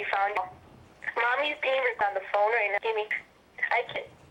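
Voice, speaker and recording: A woman against noticeable background noise. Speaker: interviewee describing paranormal experiences. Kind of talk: casual chat. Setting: phone call.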